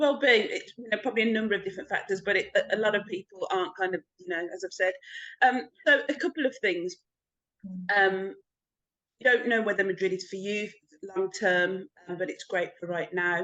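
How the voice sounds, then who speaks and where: A woman with a medium pitch and a bright, sharp tone speaks with ordinary pitch variation. She leaves long, frequent pauses. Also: fairly quick pace. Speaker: podcast host. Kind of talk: interview questions.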